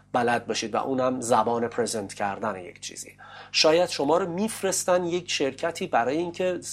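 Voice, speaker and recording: A man speaks with a fairly high pitch. His voice swings very widely in pitch. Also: fairly quick pace. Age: 30s. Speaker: English teacher. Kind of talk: interview. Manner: formal.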